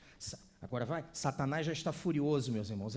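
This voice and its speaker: In a Brazilian accent, a man speaks at a fairly slow pace with a dark, mellow, somewhat breathy tone, a fairly high pitch and ordinary pitch variation. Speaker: visiting preacher. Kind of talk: sermon. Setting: church with congregation.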